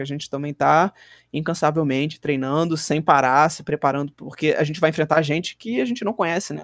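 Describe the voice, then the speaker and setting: A normal speaking voice from a man, fairly high-pitched and fairly quick, with a dry, close sound with no echo on a very clean recording with a silent background. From Minas Gerais, Brazil (Belo Horizonte). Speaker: pro wrestler. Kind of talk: casual chat.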